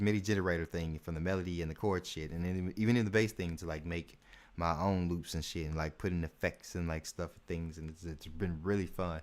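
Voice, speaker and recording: A man talks at a very fast pace with a very deep, low pitch. His intonation stays fairly even. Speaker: music producer streamer. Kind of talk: live stream tutorial. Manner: stuttering; casual, filler-heavy.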